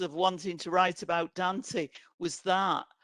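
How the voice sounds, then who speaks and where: With an English accent, a woman speaks at a medium pitch and a fairly slow pace. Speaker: author and playwright. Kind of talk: book presentation interview. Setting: online event.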